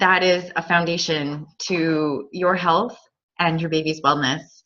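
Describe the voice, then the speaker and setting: A woman speaks at a very slow pace in a fairly low voice with a bright, sharp tone and ordinary pitch variation. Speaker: essential oils educator. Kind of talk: presentation. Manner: uses many fillers (um).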